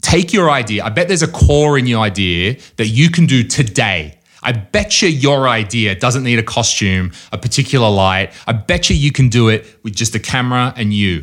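Hardly pausing at all, a man with an Australian accent speaks at a moderate pace and medium pitch with lively intonation. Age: 30s. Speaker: comedy event organizer. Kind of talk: casual chat.

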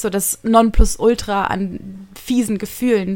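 The pitch is in the medium range. It belongs to a woman. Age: 20s. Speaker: podcaster. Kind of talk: personal monologue. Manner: fast.

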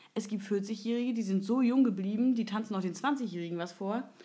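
Somewhat breathy, this woman's voice sits at a medium pitch. Her pitch varies in an ordinary way. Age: 30s. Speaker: podcast host. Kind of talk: casual chat.

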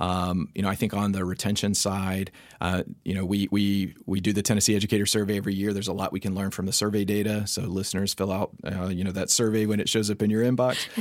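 The speaker has an American accent and a monotone, flat intonation, moving at a very fast pace with hardly any pauses. The recording is very clean, with a silent background. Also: man, fairly low pitch for a man. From North Carolina. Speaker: education researcher, professor. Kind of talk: expert interview.

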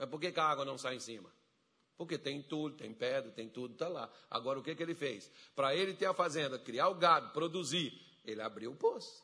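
A man speaks fairly quickly in a fairly high, bright and sharp voice with ordinary pitch variation. His tone is animated. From rural Brazil. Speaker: pastor. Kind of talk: sermon. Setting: church with congregation.

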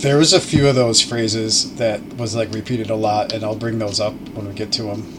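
Over noticeable background noise, a man at medium pitch talks at a fairly quick pace with hardly any pauses and fairly even intonation. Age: 30s. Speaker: podcast guest, improv comedian. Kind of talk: casual chat.

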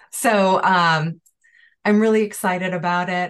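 A woman talks at a fairly low pitch with ordinary pitch variation. She has an ordinary speaking voice. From Chicago area. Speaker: Ayurvedic practitioner. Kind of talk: online panel conversation.

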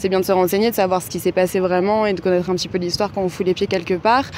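A woman speaks over noticeable background noise. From France, Paris. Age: 20s. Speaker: bar and tattoo studio owner. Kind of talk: interview.

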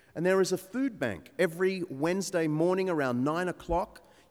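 This man has an Australian accent and a high pitch with ordinary variation. He keeps a moderate pace. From Sydney North Shore, Australia. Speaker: preacher and church historian. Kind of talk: sermon.

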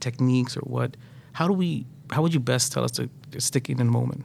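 A man speaks fairly quickly at medium pitch in a plain, everyday voice. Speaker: podcast host. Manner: joking, playful.

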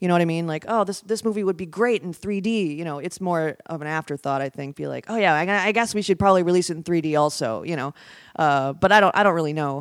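With hardly any pauses, a woman speaks at a very fast pace in a fairly low pitch. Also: ordinary pitch variation. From Wisconsin, Oshkosh. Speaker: filmmaker and storyboard artist. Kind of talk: casual chat.

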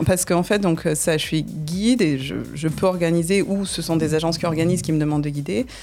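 Over music in the background, a woman talks at a fairly quick pace with hardly any pauses, using a fairly low pitch and ordinary pitch variation. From southern France, Nîmes. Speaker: tour guide and business owner. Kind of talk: radio interview. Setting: radio studio.

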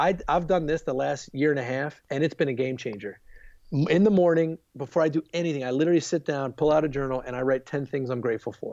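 A man's fairly high voice with an American accent, a normal speaking voice, ordinary pitch variation and a fairly quick pace. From US, Baltimore, Maryland. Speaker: youth ministry leader. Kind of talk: podcast interview.

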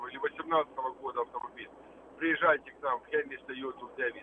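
A man's normal speaking voice with fairly even intonation. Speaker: car dealer. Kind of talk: radio ad. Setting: phone call.

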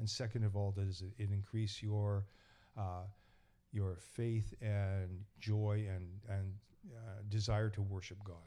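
In a Canadian accent, a man speaks at a very slow pace in a fairly low pitch, his dark, mellow tone delivered in a monotone, flat intonation. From Canada, East Vancouver. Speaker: church elder and carpenter. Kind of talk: casual interview. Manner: halting.

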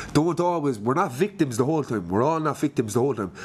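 A man speaks with a Limerick accent against noticeable background noise. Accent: Limerick Irish. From Limerick, Ireland. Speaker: podcast host. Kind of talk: casual chat interview. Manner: upbeat, chatty.

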